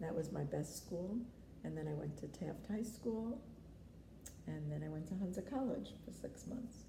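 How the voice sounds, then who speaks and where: Audible room echo surrounds a woman with a New York accent who speaks with long, frequent pauses. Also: moderate pace. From New York City, the Bronx. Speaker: grandmother interviewed about family history. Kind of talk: family interview.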